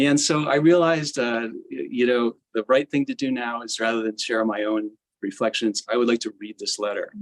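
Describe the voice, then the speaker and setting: This man has a plain, everyday voice at a medium pitch, recorded with a dry, close sound and no echo. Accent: American. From United States. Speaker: gamelan musician and teacher. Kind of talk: memorial tribute speech. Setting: hybrid memorial gathering, live-streamed.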